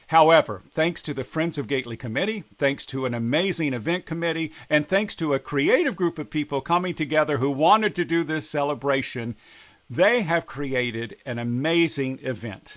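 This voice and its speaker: A man with an American accent speaks at a moderate pace, his fairly high voice carrying lively intonation and an ordinary speaking voice. The recording is very clean, with a silent background. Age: 60s. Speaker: politician. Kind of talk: direct address to camera.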